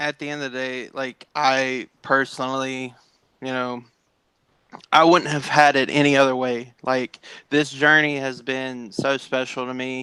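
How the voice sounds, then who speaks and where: A man with a Southern accent talks at a fairly slow pace, his medium-pitched voice bright and sharp but flat and monotone. His loudness swings widely, and the sound is dry and close with no echo. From Tennessee. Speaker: sim racing esports driver. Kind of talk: interview. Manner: halting, many fillers.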